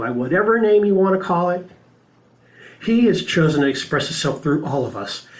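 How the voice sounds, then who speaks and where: Audible room echo surrounds a man with a high pitch and an American accent. He moves at a moderate pace with lively intonation. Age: 60s. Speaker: spiritual practitioner and speaker. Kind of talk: sermon.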